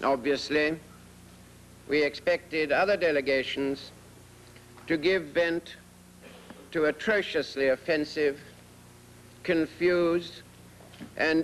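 The speech runs at a very slow pace with very even loudness and long, frequent pauses, over light background noise. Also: man. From Britain. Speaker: British diplomat speaking at the UN Security Council. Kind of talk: formal diplomatic speech. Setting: UN debate chamber. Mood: sardonic, indignant. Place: hall. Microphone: podium.

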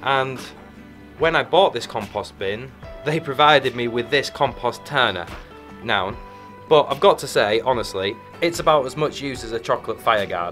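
Faint music plays in the background as a man speaks with long, frequent pauses. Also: moderate pace. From Yorkshire, England. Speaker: English teacher. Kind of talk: casual educational vlog to camera. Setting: outdoors, garden. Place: garden. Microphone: phone near.

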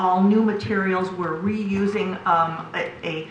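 With audible room echo and noticeable background noise, a woman speaks at medium pitch with fairly even intonation. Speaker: planning commissioner. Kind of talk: public meeting deliberation. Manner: loud; hesitant, many fillers.

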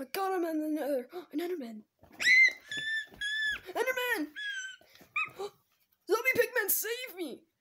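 In a cartoonish character voice pitched extremely high, the speaker moves at a fairly slow pace with long, frequent pauses. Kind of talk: gameplay commentary. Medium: puppet. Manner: excited, upbeat.

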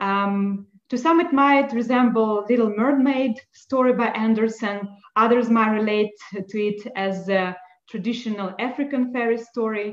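Over audible room echo, a woman talks at a fairly slow pace with ordinary pitch variation. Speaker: event co-host. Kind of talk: presentation. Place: home room. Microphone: video call.

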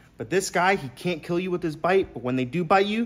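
Lively intonation colors the man's speech. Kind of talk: casual vlog chat. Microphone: phone near.

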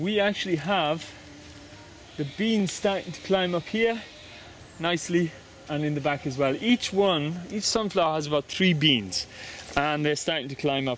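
With light background noise and a dry sound with no echo, a man speaks at a moderate pace with ordinary pitch variation and long, frequent pauses. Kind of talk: casual vlog chat. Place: garden. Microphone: phone near.

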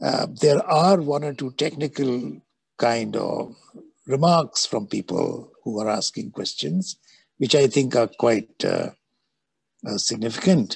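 A man at a fairly slow pace with medium pitch, vocal fry and lively intonation, in a dry sound with no echo over a quiet background. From India. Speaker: moderator, architect; moderator. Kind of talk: moderated Q&A. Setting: video call. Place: home room. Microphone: video call.

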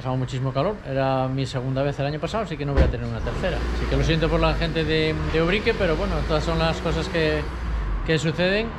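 A man talking at a very fast pace over noticeable background noise. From Spain. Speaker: motorsport video reporter. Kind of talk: casual on-location reporting. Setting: outdoors. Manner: animated.

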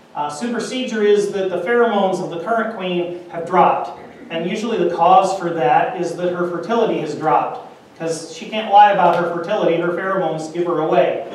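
Delivered at a fairly quick pace, the speech carries audible room echo over light background noise. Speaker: conference presenter. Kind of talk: lecture. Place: hall.

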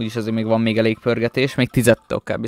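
Recorded dry with no echo, a man with a medium pitch talks at a very fast pace. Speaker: gaming YouTuber; gaming streamer. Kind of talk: gameplay commentary. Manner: animated. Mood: mildly frustrated at duplicates. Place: home room.

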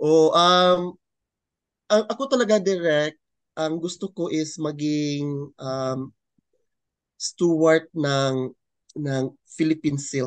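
A man with a fairly high voice and ordinary pitch variation talks at a very slow pace with long, frequent pauses, the sound dry with no echo against a quiet background. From Philippines, Cagayan de Oro; Philippines. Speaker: fashion designer; interviewee. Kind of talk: interview. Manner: halting. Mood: friendly, smiling. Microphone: video call.

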